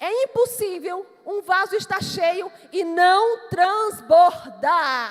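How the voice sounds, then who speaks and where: A woman's extremely high voice in a Manaus accent, with very wide pitch swings and a very slow pace. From Brazil, Amazonas (Manaus). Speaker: pastor. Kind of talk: sermon.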